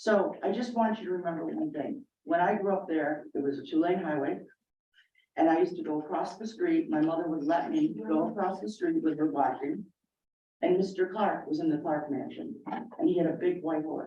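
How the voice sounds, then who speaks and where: With an Inland North American accent, a woman talks at a moderate pace, her pitch fairly low and her intonation lively. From US, central New York. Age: 60s. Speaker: resident speaking at public comment. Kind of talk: public comment at town meeting. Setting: town board meeting room. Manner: conversational, frequent 'okay' fillers.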